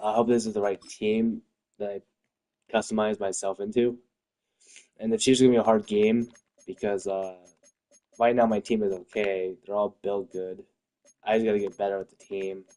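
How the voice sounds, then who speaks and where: A man's dark, mellow, fairly low voice at a moderate pace, monotone and flat, with long, frequent pauses and a dry, close sound with no echo. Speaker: gaming streamer. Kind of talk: live gameplay stream chat. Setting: live stream. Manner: slightly slurred speech.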